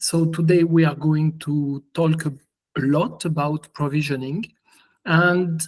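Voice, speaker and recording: A man with a strong French accent speaks at a very slow pace. His pitch is fairly high, and his intonation is fairly even. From France. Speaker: software engineer presenting. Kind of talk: conference presentation.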